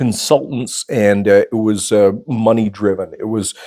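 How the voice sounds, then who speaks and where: In a normal speaking voice, a man with a Canadian accent talks at a fairly slow pace and medium pitch, with a dry, close sound and no echo. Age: 60s. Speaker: former radio host, photographer and YouTuber. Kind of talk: personal storytelling monologue. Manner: casual, with many fillers.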